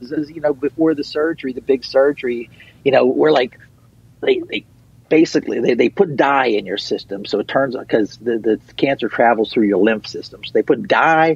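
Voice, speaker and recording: A man's normal speaking voice with an American accent, fairly high in pitch, ordinary pitch variation, a fairly quick pace, and a dry, close sound with no echo. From Western Pennsylvania. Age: middle-aged. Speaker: punk/folk musician. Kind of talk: interview. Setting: radio studio.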